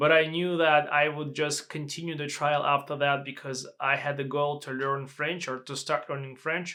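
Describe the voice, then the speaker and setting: In a clean recording with a silent background, a man with a non-native accent speaks at a fairly high pitch. His moderate pace comes with a monotone, flat intonation. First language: not English. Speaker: language learner and reviewer. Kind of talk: product review vlog. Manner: halting.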